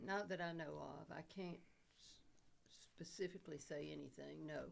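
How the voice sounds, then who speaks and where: A woman with an Alabama accent talks with big swings in loudness. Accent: Southern US (Alabama). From US South, Dothan, Alabama. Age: 80s+. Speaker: war widow. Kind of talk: oral history interview. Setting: podcast studio.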